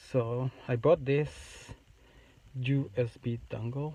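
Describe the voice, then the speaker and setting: Speaking with a non-native accent, a man uses a medium pitch and a dark, mellow, somewhat breathy tone. His intonation is monotone and flat, his pace very slow, and the sound dry and close with no echo. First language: not English. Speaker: YouTuber making a how-to video. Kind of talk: tutorial. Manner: halting.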